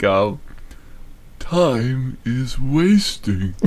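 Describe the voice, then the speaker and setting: The put-on character voice sounds shaky. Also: man, medium pitch for a man. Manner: weary.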